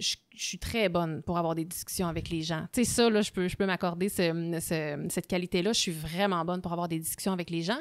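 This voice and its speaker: Fairly quick, fairly evenly intoned speech with hardly any pauses, on a very clean recording with a silent background. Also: woman, fairly low pitch for a woman. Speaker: podcast host. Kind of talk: casual chat. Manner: fast.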